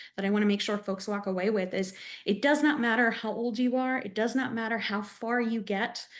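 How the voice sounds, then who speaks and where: Someone with an American accent talks at a moderate pace in a normal speaking voice, with ordinary pitch variation. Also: woman. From Texas. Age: 30s. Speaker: advocate. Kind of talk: webinar panel discussion.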